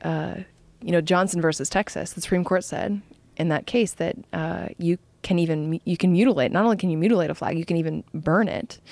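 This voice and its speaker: In a dry recording with no echo and a quiet background, a woman talks at a moderate pace with a fairly low pitch and ordinary pitch variation. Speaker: podcast guest. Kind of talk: interview answer. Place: studio. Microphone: studio mic.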